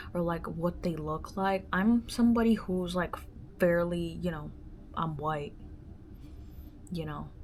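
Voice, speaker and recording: A woman talks at a fairly slow pace. Her voice is fairly low in pitch. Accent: Spanish. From US, moved from Dominican Republic at age five or six. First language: Spanish. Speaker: podcast host. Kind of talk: casual solo monologue. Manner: casual, many filler words.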